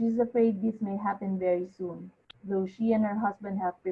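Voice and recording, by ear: Intonation stays fairly even as a natural voice reads aloud.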